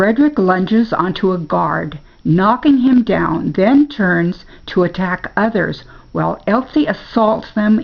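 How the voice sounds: A natural reading voice carries lively intonation.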